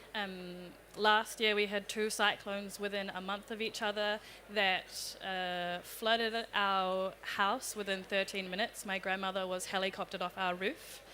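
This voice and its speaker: Over a very clean recording, silent background, a woman with a New Zealand accent talks at a moderate pace and medium pitch in a bright, sharp tone with monotone, flat intonation. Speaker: youth climate activist. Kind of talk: panel discussion.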